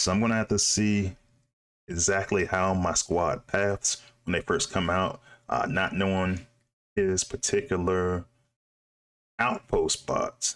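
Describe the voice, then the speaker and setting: Long, frequent pauses break up a man's very deep, low voice as he speaks at a fairly slow pace with fairly even intonation and very even loudness. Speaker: gaming YouTuber. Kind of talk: gameplay commentary. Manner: casual, thinking aloud with fillers.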